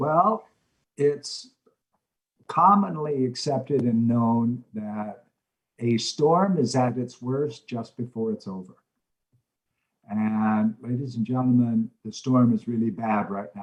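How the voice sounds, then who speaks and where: Speaking at a very slow pace with long, frequent pauses, a man uses ordinary pitch variation. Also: medium pitch for a man. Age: 60s. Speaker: motivational speaker and mentor. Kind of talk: interview. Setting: video call.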